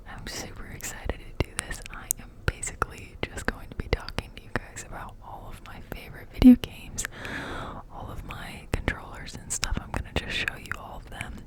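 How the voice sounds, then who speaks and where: Whispering at a moderate pace, a woman's loudness swings widely while noticeable background noise runs underneath. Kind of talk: ASMR ramble to camera. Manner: casual, chatty.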